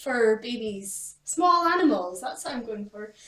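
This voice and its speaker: A woman with a Scottish accent speaks with lively intonation. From Scotland. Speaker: pet YouTuber. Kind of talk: casual chat.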